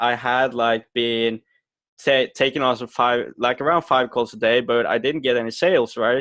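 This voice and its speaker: A man with a normal speaking voice and medium pitch talks at a fairly slow pace with fairly even intonation. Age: 20s. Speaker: marketing agency owner. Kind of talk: interview.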